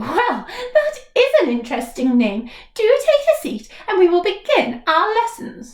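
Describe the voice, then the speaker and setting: A woman puts on a character voice, pitched extremely high and swinging very widely up and down. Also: moderate pace. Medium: read story. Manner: prim, precise.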